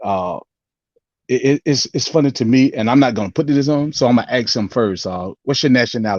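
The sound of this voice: The sound is dry and close with no echo, and the tone is slightly mellow. Intonation is lively, with a fairly quick pace. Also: man, medium pitch for a man.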